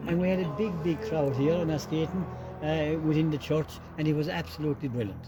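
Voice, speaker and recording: A man's very fast, fairly high-pitched voice in a Limerick accent, with ordinary pitch variation, very even loudness and music in the background. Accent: Irish, Limerick. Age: 80s+. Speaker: tour guide. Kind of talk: guided tour interview.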